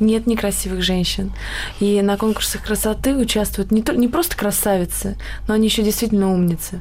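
Against noticeable background noise, a woman talks at a fairly quick pace with very even loudness. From Karelia, Russia. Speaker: beauty queen. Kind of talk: radio talk show discussion. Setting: studio.

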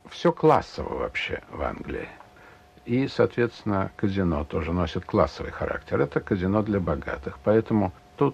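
This is a man's voice. It sounds somewhat breathy. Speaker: casino regular. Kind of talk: interview.

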